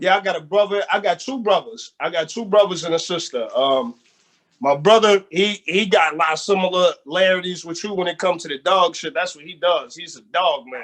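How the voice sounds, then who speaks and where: Talking at a fairly quick clip, a man with a high pitch shows big swings in loudness. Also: ordinary pitch variation. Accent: American. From Erie, Pennsylvania. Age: 30s. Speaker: rapper and producer. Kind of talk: casual interview.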